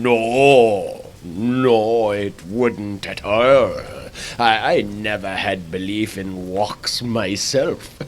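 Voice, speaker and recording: A man puts on a character voice at a medium pitch. He speaks very slowly over clear background noise. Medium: read story. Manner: melancholy, sighing.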